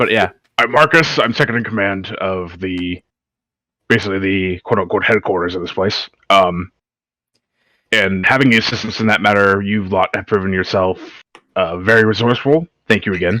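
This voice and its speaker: A man puts on a raspy character voice with fairly low pitch and ordinary pitch variation. He keeps a moderate pace broken by long, frequent pauses, in a very clean recording with a silent background. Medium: actual play. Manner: polite, courteous.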